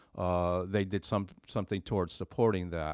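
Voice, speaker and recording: A man's very deep, low voice, dry and close with no echo, against a quiet background. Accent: American. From Connecticut, Derby. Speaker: retired fire chief. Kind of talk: interview. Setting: studio.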